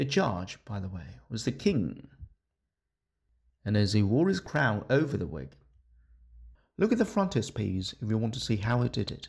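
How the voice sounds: In a very clean recording with a silent background, a man with a fairly low pitch and vocal fry speaks at a moderate pace with big pitch swings, long, frequent pauses, a slightly husky edge and a slightly mellow tone.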